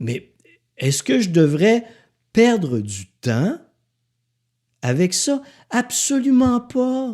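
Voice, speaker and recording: A man with a high, dark, mellow voice speaks at a very slow pace with long, frequent pauses. His pitch swings very widely and his loudness swings a lot. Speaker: podcaster, author and speaker. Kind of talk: casual monologue podcast. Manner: animated; sarcastic.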